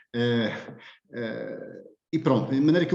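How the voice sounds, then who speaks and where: At a fairly slow pace, a man speaks at a medium pitch with audible room echo. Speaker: philosophy professor. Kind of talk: lecture. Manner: hesitant, many filler sounds.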